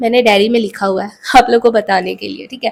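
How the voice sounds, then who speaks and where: A woman speaking at a moderate pace. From India, Jharkhand (Ranchi). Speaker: vlogger. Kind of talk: tutorial. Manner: casual conversational.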